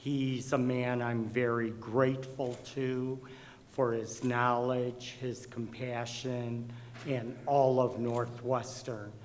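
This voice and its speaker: Amid noticeable background noise and audible room echo, a man at medium pitch speaks very slowly in a monotone, flat intonation. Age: 60s. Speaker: patient speaker. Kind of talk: testimony.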